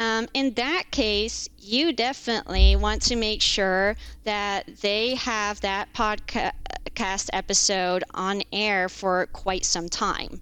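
A woman speaks at a very slow pace and medium pitch, with hardly any pauses. Her pitch variation is ordinary, and the recording is very clean with a silent background. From Netherlands. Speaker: contract lawyer. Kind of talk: podcast interview, casual chat. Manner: hesitant, many fillers.

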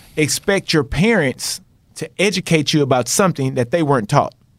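In a normal speaking voice with an American accent, a man talks at a moderate pace with lively intonation, on a very clean recording with a silent background, dry and close with no echo. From Texas. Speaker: math professor. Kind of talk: casual interview chat. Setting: studio, sitting across from host.

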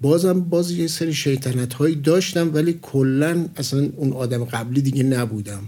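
Using a normal speaking voice, a fairly high-pitched man talks at a moderate pace with ordinary pitch variation and hardly any pauses. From Iran, Tehran. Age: 50s. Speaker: project manager, engineer. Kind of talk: interview. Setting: studio.

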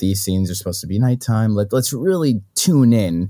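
A man with an American accent speaks fairly quickly at a fairly low pitch, in a normal speaking voice. The recording is very clean, with a silent background. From New York City. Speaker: filmmaker. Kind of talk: casual interview.

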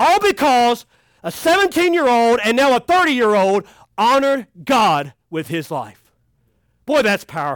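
A man with a Kentucky accent at an extremely high pitch, fairly slow and animated, with very wide pitch swings, in a very clean recording with a silent background and a dry, close sound with no echo. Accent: Kentucky Southern US. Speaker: pastor. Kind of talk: sermon. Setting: youth camp with audience.

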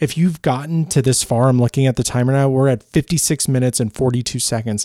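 A man's medium-pitched voice with an American accent, dark and mellow in tone, with ordinary pitch variation, a dry, close sound with no echo, and a very clean recording with a silent background. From Chicago. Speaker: podcast host and TV reporter. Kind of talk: personal storytelling monologue. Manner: casual, off the cuff with fillers.

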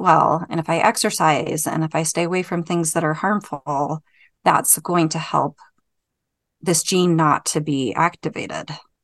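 The pace is fairly slow, with ordinary pitch variation. It is an unremarkable speaking voice. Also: woman. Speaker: podcast co-host. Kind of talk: casual interview chat.

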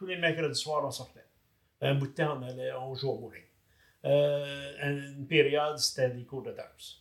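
This man talks at a fairly slow pace in a fairly high pitch, with monotone, flat intonation and big swings in loudness. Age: 70s. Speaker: married retiree sharing couple story. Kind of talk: casual interview.

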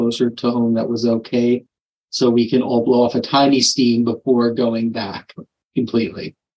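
A text is read aloud in a natural voice, with the background staying quiet.

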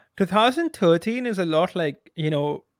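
Lively intonation marks this man's high-pitched voice as he talks at a moderate pace.

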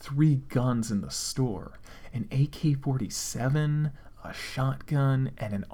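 Natural reading voice

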